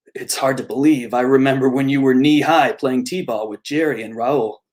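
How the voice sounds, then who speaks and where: Using a gruff, put-on character voice, a man of medium pitch speaks at a moderate pace with ordinary pitch variation and big swings in loudness. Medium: read story.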